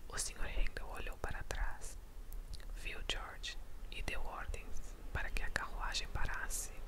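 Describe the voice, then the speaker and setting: Whispering and soft-spoken in a calm tone, the speaker goes at a fairly slow pace with long, frequent pauses, over noticeable background noise. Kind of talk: whispered bedtime story reading. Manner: whispered, soft, calm.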